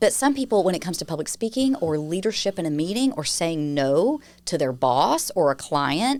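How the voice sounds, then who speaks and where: Speaking with a Southern US accent, a woman with a fairly low voice keeps a moderate pace, hardly pauses and swings her pitch very widely. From US South, Nashville, Tennessee. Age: 40s. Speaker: communications firm founder, crisis communication expert. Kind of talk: podcast interview.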